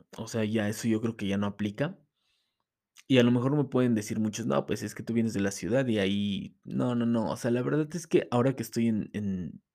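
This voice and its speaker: A man talks at a fairly quick pace with ordinary pitch variation. His tone is dark and mellow. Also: medium pitch for a man. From Mexico City. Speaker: podcast host. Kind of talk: casual monologue.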